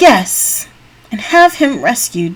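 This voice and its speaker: This is a put-on character voice that sounds female. The pitch is high for a woman. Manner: scornful.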